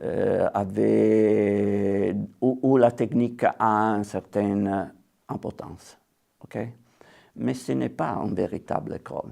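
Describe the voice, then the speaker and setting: A man with an Italian accent speaks very slowly, with big swings in loudness. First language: Italian (speaking French). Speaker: watercolour painter. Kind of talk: interview. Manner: halting, many hesitations.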